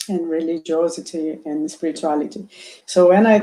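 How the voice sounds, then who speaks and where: A woman's dark, mellow tone with a Portuguese accent, lively intonation and a moderate pace. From Brazil. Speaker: doctor. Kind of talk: interview. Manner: halting.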